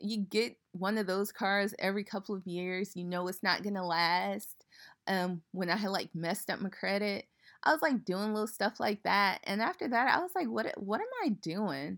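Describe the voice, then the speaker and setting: A plain, everyday voice comes from a woman at medium pitch and a moderate pace. Pitch variation is ordinary, in a very clean recording with a silent background. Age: 30s. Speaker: podcast host. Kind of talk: personal monologue.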